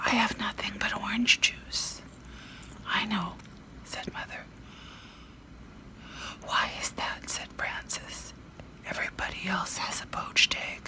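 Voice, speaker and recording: Over noticeable background noise, the whispering goes at a fairly slow pace. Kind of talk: ASMR bedtime story reading, whispered. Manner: whispered, soft.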